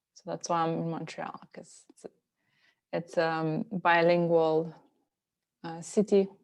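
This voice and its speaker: With a Slovenian accent, a woman speaks at a fairly slow pace in a fairly low pitch. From Slovenia, near Italy. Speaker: yoga and meditation teacher. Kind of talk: interview conversation. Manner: hesitant with many fillers.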